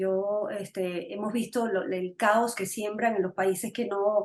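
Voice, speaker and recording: At a fairly slow pace, a woman talks in a normal speaking voice, medium in pitch, with ordinary pitch variation. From Venezuela. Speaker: political talk show host. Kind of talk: interview.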